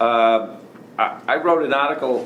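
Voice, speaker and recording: A man with a Boston accent and ordinary pitch variation, with audible room echo and noticeable background noise. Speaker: law professor. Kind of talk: lecture. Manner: halting, repeats words often.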